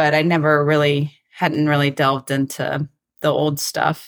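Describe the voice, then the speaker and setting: A woman's very deep, low voice with an American accent, on a very clean recording with a silent background. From Atlanta, Georgia, US South. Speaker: country singer-songwriter. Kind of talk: interview.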